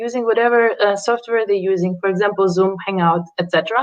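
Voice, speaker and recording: The speaker is a woman at a medium pitch. Her pitch variation is ordinary. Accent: non-native. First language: not English. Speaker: startup founder. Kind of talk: pitch presentation. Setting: livestreamed pitch event. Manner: halting.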